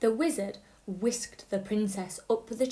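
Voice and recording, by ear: A natural voice reading aloud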